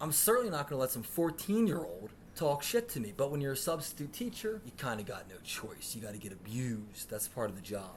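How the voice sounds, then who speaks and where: A medium-pitched man races along at a very fast pace with hardly any pauses and very wide pitch swings, amid noticeable background noise and audible room echo. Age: 30s. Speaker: podcast host. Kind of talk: comedic storytelling. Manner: animated.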